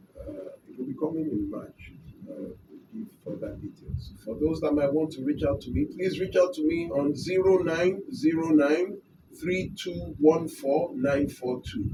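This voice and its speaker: A normal speaking voice at a fairly slow pace, with lively intonation and big swings in loudness. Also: man, fairly high pitch for a man. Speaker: lawyer and abuse-victim advocate. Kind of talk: radio talk appeal.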